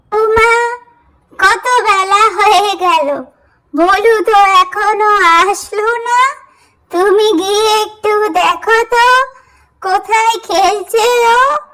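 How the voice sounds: A woman does a cartoonish character voice that is squeaky and extremely high in pitch. She talks at a very slow pace, with fairly even intonation and very even loudness.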